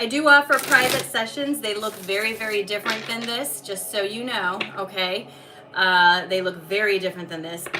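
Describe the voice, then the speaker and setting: A woman speaks at a medium pitch and a moderate pace, with ordinary pitch variation. Noticeable background noise sits behind her voice. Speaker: tarot and energy reader. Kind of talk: live stream readings announcements.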